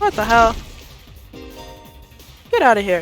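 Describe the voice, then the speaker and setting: A woman's fairly high voice at a moderate pace, with music in the background. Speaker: gaming content creator. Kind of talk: let's play commentary and reading game text.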